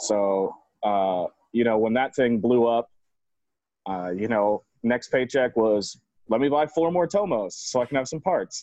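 In a dry, close sound with no echo, a speaker with an American accent talks at a fairly slow pace with lively intonation and long, frequent pauses. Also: man, medium pitch for a man. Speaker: moped shop owner and club member. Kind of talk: casual interview chat.

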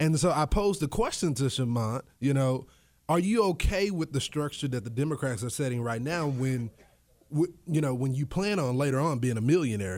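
With an American accent, a man uses a plain, everyday voice at a medium pitch, talking at a fairly quick pace with lively intonation. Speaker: radio host and political commentator. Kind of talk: casual chat.

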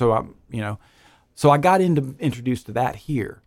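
Captured in a very clean recording with a silent background, a man speaks with an American accent. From North Carolina, Troy, Montgomery County. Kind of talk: radio interview. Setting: studio.

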